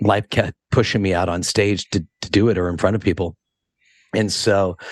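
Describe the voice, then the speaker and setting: A man with a West Coast accent and a fairly low pitch speaks at a moderate pace in a monotone, flat intonation. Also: dry, close sound with no echo. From California, Monterey. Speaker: hairdresser and educator. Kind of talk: podcast interview. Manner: casual, many fillers.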